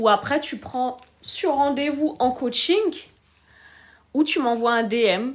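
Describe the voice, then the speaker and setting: A woman's high, lively voice at a very slow pace, with long, frequent pauses. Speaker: relationship coach hosting a live stream. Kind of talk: live stream chat answering comments.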